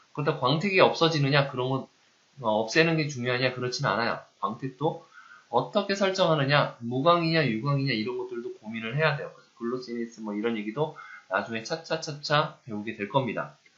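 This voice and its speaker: The voice has big swings in loudness and ordinary pitch variation, with noticeable background noise behind it. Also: man, medium pitch for a man, fairly quick pace. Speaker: university lecturer. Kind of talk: lecture. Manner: conversational, asks rhetorical questions.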